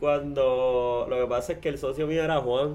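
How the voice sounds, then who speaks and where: This man talks with a Puerto Rican accent. His pace is moderate. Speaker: podcast host. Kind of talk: casual interview; sponsor announcements. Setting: studio.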